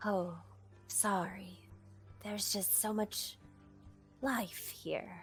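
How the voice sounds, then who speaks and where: A put-on character voice at a very slow pace, with long, frequent pauses and clear music in the background. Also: woman. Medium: actual play. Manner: polite, measured.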